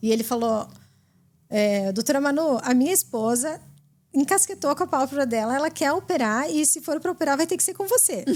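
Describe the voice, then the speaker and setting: A woman speaks with a high pitch and lively intonation. The recording is very clean and the background silent. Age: 40s. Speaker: eyelid surgeon. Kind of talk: casual chat.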